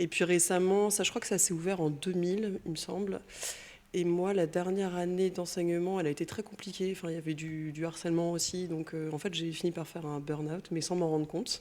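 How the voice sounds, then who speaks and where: A woman's fairly low, monotone, flat voice at a fairly quick pace. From Brittany, France. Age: 40s. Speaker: painter, former teacher. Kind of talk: interview, personal testimony. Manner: casual, hesitant with fillers.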